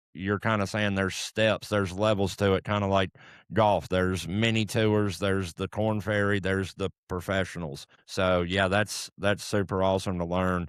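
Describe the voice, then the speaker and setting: In a very clean recording with a silent background and a dry, close sound with no echo, a man speaks at a moderate pace with hardly any pauses, a fairly low pitch, monotone, flat intonation and very even loudness. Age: 30s. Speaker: podcast host. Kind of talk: podcast interview.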